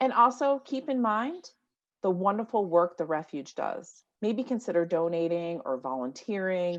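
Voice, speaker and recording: A woman with an American accent, fairly low in pitch, animated in tone with lively intonation, at a moderate pace against a quiet background. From New York. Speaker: conference moderator. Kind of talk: virtual conference closing remarks. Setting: video call from home office.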